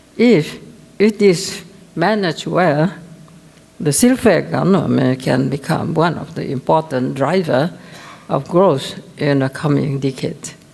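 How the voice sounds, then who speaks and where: Amid noticeable background noise, a woman with a very deep, low pitch and lively intonation speaks at a fairly slow pace with long, frequent pauses. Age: 80s+. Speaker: business owner. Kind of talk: conference speech.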